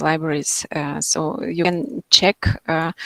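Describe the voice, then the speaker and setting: Recorded very cleanly against a silent background, a woman with a non-native accent speaks at a fairly slow pace in a dry, close sound with no echo. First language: not English. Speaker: materials scientist. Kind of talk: Q&A after a lecture. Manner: halting, many fillers.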